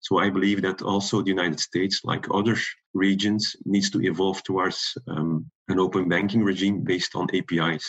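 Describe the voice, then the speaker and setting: Speaking with a Belgian accent, a man uses a very deep, low pitch, fairly even intonation and a moderate pace. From Belgium. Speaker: product security director. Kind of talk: panel interview.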